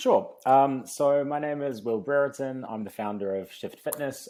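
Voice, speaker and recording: On a very clean recording with a silent background, a man with a New Zealand accent speaks in a dark, mellow tone with ordinary pitch variation. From New Zealand, Christchurch. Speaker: fitness company founder. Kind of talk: casual interview. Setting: in person podcast.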